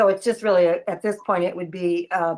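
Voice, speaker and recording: The intonation is monotone and flat, at a moderate pace. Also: woman. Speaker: committee chair. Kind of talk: online meeting. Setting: video call.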